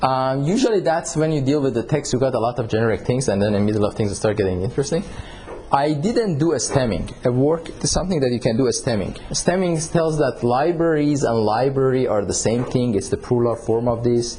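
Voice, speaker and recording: A man speaks fairly quickly at a medium pitch, his loudness very even. His intonation is lively, and there is noticeable background noise. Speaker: university researcher leading a workshop. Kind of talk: technical workshop tutorial.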